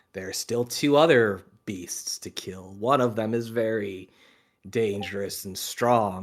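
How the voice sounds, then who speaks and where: Using a put-on character voice, a man speaks at a fairly slow pace. His pitch sits fairly low. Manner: slow, creepy.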